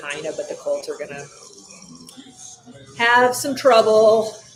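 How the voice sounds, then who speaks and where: Over noticeable background noise, a woman talks with an American accent. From Buffalo, New York. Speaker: sports streamer. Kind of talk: live game-watching commentary. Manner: casual, filler-heavy.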